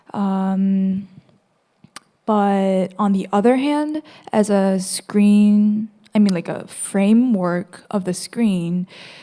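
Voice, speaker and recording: Speaking very slowly, a woman uses a dark, mellow tone at medium pitch with a Korean accent. Her intonation is fairly even. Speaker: student presenter. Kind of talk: presentation. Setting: gallery with audience. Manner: halting.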